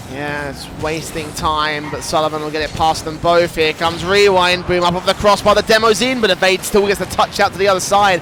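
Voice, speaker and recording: Over noticeable background noise, a high-pitched man talks at a fairly quick pace with hardly any pauses and ordinary pitch variation. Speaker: esports commentator. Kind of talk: live commentary. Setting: studio. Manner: fast.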